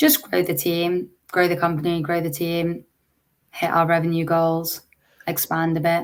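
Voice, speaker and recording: A woman's fairly low-pitched voice with an English accent, a moderate pace, and monotone, flat intonation. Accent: English accent, noticeable. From England. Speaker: startup founder and CEO. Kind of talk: interview.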